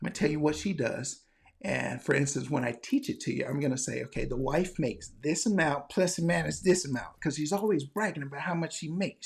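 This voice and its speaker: Vocal fry at a fairly quick pace, with ordinary pitch variation, in a very clean recording over a silent background. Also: man. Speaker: medical educator, former flight paramedic. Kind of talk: promotional pitch. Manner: animated; lowered voice.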